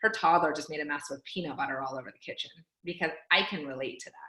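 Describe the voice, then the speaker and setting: Lively intonation and an animated tone mark this voice with an American accent. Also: woman. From California, Fresno. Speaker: team coach. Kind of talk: team training call. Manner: fast.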